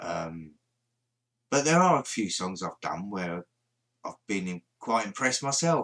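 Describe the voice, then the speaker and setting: A man mumbles at a moderate pace, his pitch swinging very widely. The recording is very clean, with a silent background. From London. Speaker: paranormal livestreamer. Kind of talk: casual livestream chat. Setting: live stream. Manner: mumbling.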